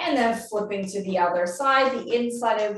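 Calm in tone, a woman speaks with lively intonation. Audible room echo and light background noise are present. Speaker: physiotherapist. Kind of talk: guided exercise class. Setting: video call. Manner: calm, clear, step-by-step cueing; encouraging. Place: home room. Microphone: webcam.

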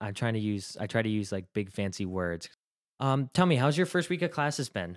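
Over a quiet background, a man with a plain, everyday voice and a fairly low pitch talks at a fairly quick pace with lively intonation. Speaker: college radio host. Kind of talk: casual interview. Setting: radio studio. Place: studio.

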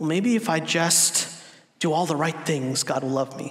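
A man speaks with a fairly high pitch and a fairly bright tone. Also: lively intonation, moderate pace.

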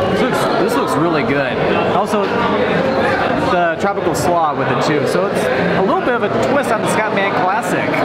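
A man speaks at a moderate pace. Crowd noise can be heard in the background. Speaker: food vlogger. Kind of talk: casual vlog chat. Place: cafe. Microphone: phone near.

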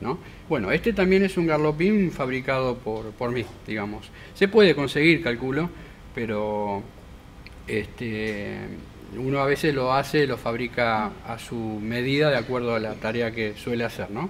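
Light background noise sits under a man's lively intonation as he speaks at a fairly slow pace. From Argentina, Tigre (Buenos Aires province); Buenos Aires province, Argentina. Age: 50s. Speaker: boat carpenter. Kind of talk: interview. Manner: hesitant, many fillers. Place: workshop.

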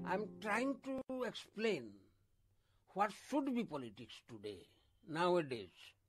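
A man speaking very slowly with very wide pitch swings over faint background music. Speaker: former politician and PhD student; former politician. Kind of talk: interview. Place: home room. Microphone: handheld.

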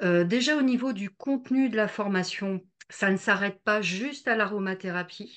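A woman at a moderate pace, with ordinary pitch variation and a quiet background. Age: 50s. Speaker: energy healer. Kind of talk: testimony. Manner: halting, many hesitations. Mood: warm, enthusiastic. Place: home room. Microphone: video call.

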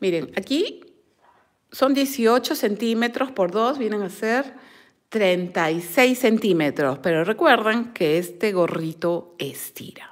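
A woman at a very slow pace with very wide pitch swings, over a quiet background. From Peru, Lima; Peru. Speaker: crochet and knitting teacher; knitting teacher. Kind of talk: live-stream tutorial and chat. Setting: live stream at a table. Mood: warm, affectionate. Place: home room. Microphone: phone near.

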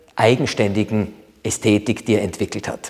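A man talks at a moderate pace. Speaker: art expert at an auction house. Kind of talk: presentation on an artwork. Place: home room. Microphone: lapel.

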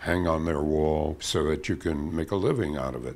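With a very deep, low pitch and vocal fry, this man talks at a fairly slow pace. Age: 80s+. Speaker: cartoonist. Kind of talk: interview answer. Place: studio. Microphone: lapel.

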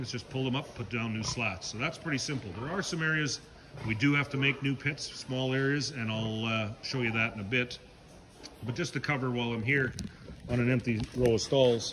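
There is light background noise as a man speaks at a fairly quick pace with ordinary pitch variation. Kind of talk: tutorial walk-through explanation. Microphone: phone near.

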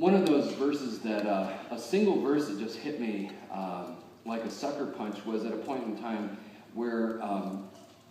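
A man speaks over light background noise. The room's echo is audible. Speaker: pastor. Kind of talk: sermon. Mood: warm, personal storytelling. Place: church.

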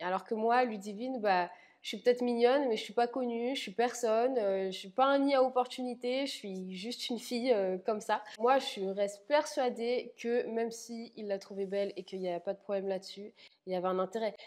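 A woman with big swings in loudness and ordinary pitch variation, against a quiet background. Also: moderate pace. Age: 20s. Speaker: reality TV contestant. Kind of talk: interview monologue. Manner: blunt, spontaneous. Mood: candid, slightly hurt. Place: home room. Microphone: lapel.

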